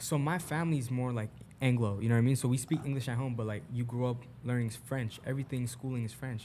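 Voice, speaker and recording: A man in a Montreal accent talks at a very fast pace with a medium pitch and a dark, mellow, somewhat breathy tone. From Canada, Montreal. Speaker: musician. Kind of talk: casual chat. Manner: animated.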